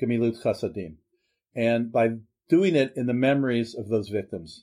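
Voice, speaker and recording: Here is an ordinary speaking voice in an American accent. It moves at a moderate pace on a very clean recording with a silent background. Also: man. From Pittsburgh, Pennsylvania. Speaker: rabbi. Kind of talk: interview testimony.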